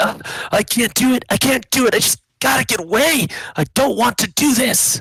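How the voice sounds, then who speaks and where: A man puts on a raspy character voice at an extremely high pitch, speaking at a moderate pace. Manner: scared, panicked.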